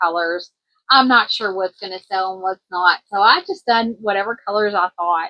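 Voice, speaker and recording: A woman speaks at a moderate pace with a Kentucky accent. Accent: country twang, Kentucky. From US South, Kentucky. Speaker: crochet vlogger and small business owner. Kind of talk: casual vlog, inventory walkthrough. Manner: casual, filler-heavy with self-corrections.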